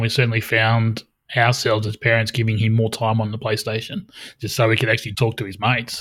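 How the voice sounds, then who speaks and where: A man with an Australian accent, somewhat breathy, talking at a very fast pace in a very clean recording over a silent background. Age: 40s. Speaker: podcast host. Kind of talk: casual chat.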